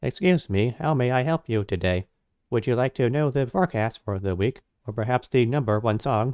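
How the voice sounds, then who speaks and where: A man performs a put-on character voice at a medium pitch. He moves at a fairly quick pace over a quiet background. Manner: mimicking an automated assistant.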